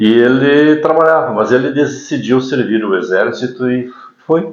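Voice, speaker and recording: A man with a medium pitch speaks at a fairly slow pace. His pitch varies in an ordinary way, and the room echo is audible. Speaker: announcer. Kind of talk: podcast interview.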